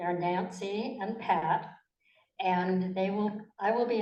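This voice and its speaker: In audible room echo, a woman talks at a very slow pace with medium pitch and fairly even intonation. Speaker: forum moderator. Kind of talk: moderating candidate forum. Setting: library meeting room with audience. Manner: seated, formal.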